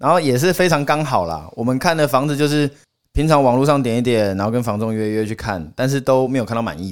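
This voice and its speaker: A man talks at a very fast pace and a medium pitch, his intonation lively. The recording is very clean, with a silent background. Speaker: podcast guest, old school friend of hosts. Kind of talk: casual chat.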